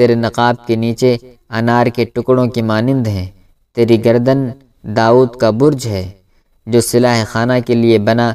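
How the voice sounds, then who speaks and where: A man's dark, mellow tone in a monotone, flat delivery. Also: medium pitch for a man. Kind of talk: audiobook narration.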